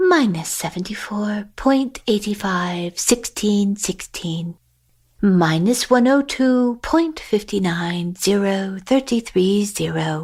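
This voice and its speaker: In a put-on character voice, the speaker moves at a fairly slow pace with lively intonation. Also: woman, medium pitch for a woman. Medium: read story. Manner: mutters number sequences.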